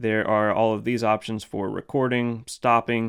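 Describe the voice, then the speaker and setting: A man with an unremarkable speaking voice talks at a fairly low pitch and a moderate pace, with fairly even intonation. The sound is dry and close with no echo, on a very clean recording with a silent background. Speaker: gear reviewer. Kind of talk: product review tutorial. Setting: home studio storage room.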